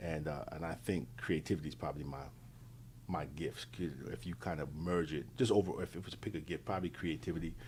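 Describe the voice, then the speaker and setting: With an American accent, a man talks at a very fast pace. His pitch is very deep and low, with vocal fry. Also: ordinary pitch variation. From New York. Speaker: interview guest. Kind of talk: casual interview chat. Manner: halting, many fillers and repeats.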